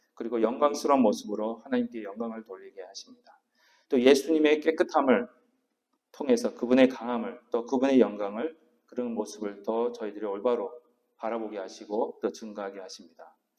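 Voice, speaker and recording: A man at medium pitch, fairly quick pace, ordinary pitch variation and big swings in loudness. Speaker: senior pastor. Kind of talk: sermon. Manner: stumbling over words.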